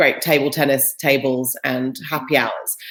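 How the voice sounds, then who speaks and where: A woman speaks with a British accent. Her pace is moderate. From Britain. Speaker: employer branding specialist. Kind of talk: interview.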